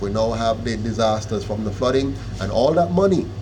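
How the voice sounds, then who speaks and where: Over noticeable background noise and audible room echo, a man talks fairly quickly at a medium pitch with ordinary pitch variation. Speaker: political party founder. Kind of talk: interview.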